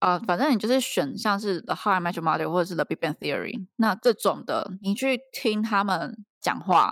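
In a very clean recording with a silent background and a dry, close sound with no echo, a woman with an ordinary speaking voice and a medium pitch talks at a moderate pace, with ordinary pitch variation and hardly any pauses. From Taiwan. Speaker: PhD student abroad, podcast co-host. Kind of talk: casual chat.

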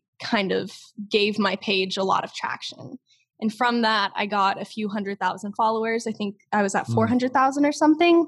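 Speaking at a moderate pace, a woman has an unremarkable speaking voice, fairly high in pitch with ordinary pitch variation. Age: young. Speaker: TikTok creator. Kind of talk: interview.

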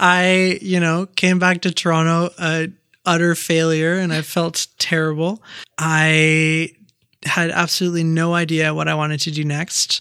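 A man speaks slowly-ish in a high voice with a Canadian accent. His tone is bright and sharp, his intonation flat and monotone. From Quebec. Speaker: community builder. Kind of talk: casual interview. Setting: studio.

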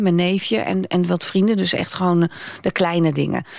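Speaking at a fairly quick pace, a woman uses a normal speaking voice at a medium pitch. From Netherlands. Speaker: radio presenter. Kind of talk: interview.

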